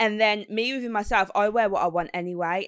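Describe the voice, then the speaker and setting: Recorded dry and close with no echo against a very clean, silent background, a woman speaks at a medium pitch. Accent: Brummie. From West Midlands, England. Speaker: radio presenter and DJ. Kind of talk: casual interview chat.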